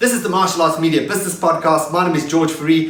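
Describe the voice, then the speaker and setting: A man with a South African accent, with audible room echo and noticeable background noise. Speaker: podcast host. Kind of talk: scripted intro; podcast interview.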